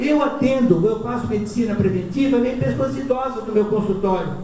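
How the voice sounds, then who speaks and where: A man speaks at an extremely high pitch and a moderate pace, with ordinary pitch variation. Audible room echo and noticeable background noise are present. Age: 60s. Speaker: physician giving talks. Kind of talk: lecture. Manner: conversational, informal.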